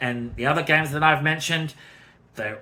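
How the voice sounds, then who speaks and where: A man with an Australian accent and a bright, sharp tone. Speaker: gaming youtuber. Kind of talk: casual video commentary. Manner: hesitant, many fillers.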